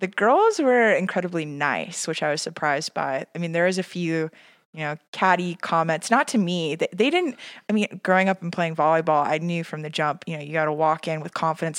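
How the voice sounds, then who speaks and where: Speaking at a fairly quick pace with ordinary pitch variation, an ordinary speaking voice comes through a very clean recording with a silent background and a dry, close sound with no echo. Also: woman, fairly low pitch for a woman. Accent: American. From Scottsdale, Arizona. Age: 20s. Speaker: pageant contestant guest. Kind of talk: casual chat.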